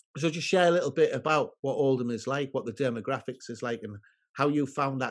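A man speaks with a northern English accent at a medium pitch. The background is quiet. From northern England. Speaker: podcast host. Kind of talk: casual interview.

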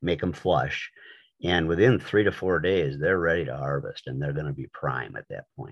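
A man with a very deep, low pitch and vocal fry speaks at a moderate pace, his intonation lively and his loudness swinging widely. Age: 50s. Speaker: mushroom forager and seller. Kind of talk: casual interview. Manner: halting, many repetitions.

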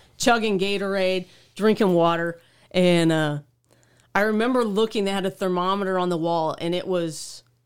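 An ordinary speaking voice from a woman with an American accent, medium pitch, fairly even intonation and a moderate pace, on a very clean recording with a silent background. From Oklahoma, small town. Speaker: motorcycle traveler. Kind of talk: casual interview.

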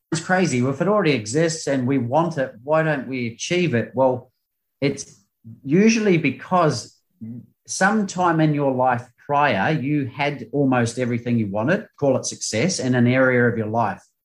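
With a New Zealand accent, a man talks at a moderate pace using lively intonation. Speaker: performance coach. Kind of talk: interview.

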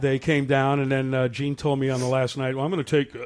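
A man talks at a fairly quick pace with a fairly high pitch. Noticeable background noise runs under the recording. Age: 60s. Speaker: rock musician. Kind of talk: casual interview. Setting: studio.

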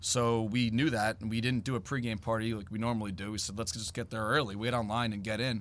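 A man at medium pitch, talking at a very fast pace with fairly even intonation. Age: 40s. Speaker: fan apparel business owner. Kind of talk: interview. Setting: team store.

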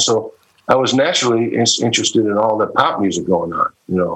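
With an American accent, a man talks in a plain, everyday voice at a moderate pace with ordinary pitch variation. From Ohio, Cleveland. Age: 60s. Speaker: session guitarist. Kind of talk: interview.

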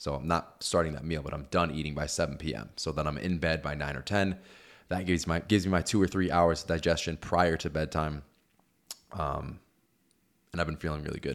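A man speaks at a very deep, low pitch with vocal fry and fairly even intonation. His pace is fairly quick, and the recording is very clean with a silent background. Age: 30s. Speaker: podcast host and online health coach. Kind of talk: casual chat.

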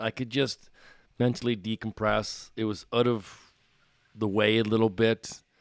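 A man with a Maritime Canadian accent, medium pitch and fairly slow pace. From Nova Scotia, Canada (Bedford). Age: 40s. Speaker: retired pro hockey player. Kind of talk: casual interview.

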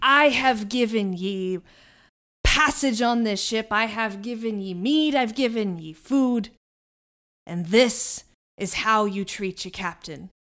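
Using a put-on character voice, a woman growls in a gruff, fairly high tone at a fairly slow pace. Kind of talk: gruff pirate-style sea captain voice. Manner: gruff, commanding, archaic "ye" speech.

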